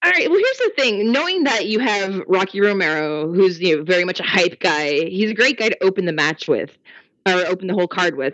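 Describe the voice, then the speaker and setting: A woman's medium-pitched, ordinary speaking voice, with lively intonation and a fairly quick pace. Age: 30s. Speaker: wrestling fan guest. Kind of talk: casual chat.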